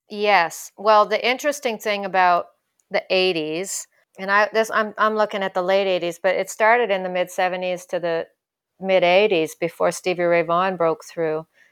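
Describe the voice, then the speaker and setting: A woman with an unremarkable speaking voice talks at medium pitch and a moderate pace with fairly even intonation, on a very clean recording with a silent background. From Canada, Ottawa. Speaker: blues guitarist and singer. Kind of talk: interview conversation.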